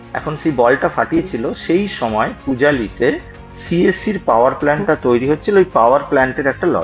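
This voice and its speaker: Over music in the background, a man speaks with lively intonation and a fairly high pitch. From West Bengal, India (Pujali, Budge Budge). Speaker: healthcare entrepreneur. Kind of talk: interview storytelling. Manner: hesitant with fillers.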